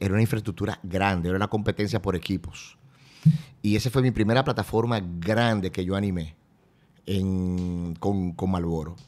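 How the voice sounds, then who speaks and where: At a moderate pace, a man with a plain, everyday voice speaks at a fairly low pitch with fairly even intonation. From Dominican Republic. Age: 40s. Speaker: event host and radio presenter; event host, radio presenter. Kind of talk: casual chat. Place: studio. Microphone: studio mic.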